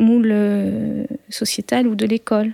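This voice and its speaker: The pace is very slow and the tone dark and mellow. The sound is dry and close, with no echo. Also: woman. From rural France. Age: 30s. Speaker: sound engineering student, bullying survivor. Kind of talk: testimony. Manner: halting, many hesitations and repeated words.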